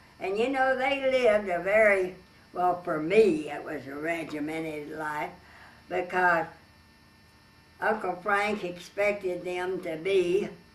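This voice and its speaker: A woman with an American accent at a fairly slow pace, long, frequent pauses and big swings in loudness, over noticeable background noise. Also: medium pitch for a woman, ordinary pitch variation. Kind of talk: oral history interview answer.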